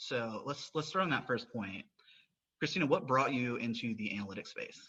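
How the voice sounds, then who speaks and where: A man's bright, sharp tone in a Southern US accent, medium pitch, lively intonation, moderate pace. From US South. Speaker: podcast host. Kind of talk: interview podcast.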